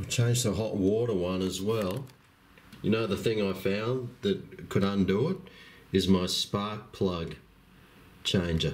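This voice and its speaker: Speaking fairly slowly with long, frequent pauses, a man with an Australian accent keeps a fairly low pitch and ordinary pitch variation. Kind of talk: casual talk to camera. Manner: calm.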